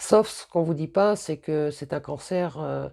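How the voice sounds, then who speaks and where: On a very clean recording with a silent background, a woman's dark, mellow voice shows vocal fry and ordinary pitch variation. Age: 50s. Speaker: cancer patient. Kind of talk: testimony. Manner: halting.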